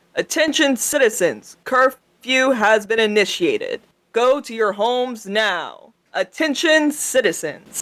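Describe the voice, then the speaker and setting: A put-on, robotic character voice with a fairly high pitch, delivered at a fairly slow pace. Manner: flat, repeated announcement.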